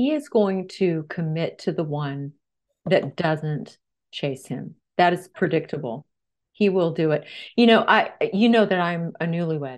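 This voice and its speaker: A woman's plain, everyday voice, fairly low in pitch, with lively intonation at a fairly slow pace over a quiet background. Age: 50s. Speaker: dating author and relationship expert. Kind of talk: interview. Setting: audio-only interview.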